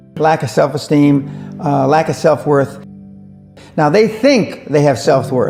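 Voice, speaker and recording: Over music in the background, a man with an American accent talks at a fairly slow pace, his pitch varying in an ordinary way. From United States. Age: 70s. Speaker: businessman. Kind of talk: interview answer.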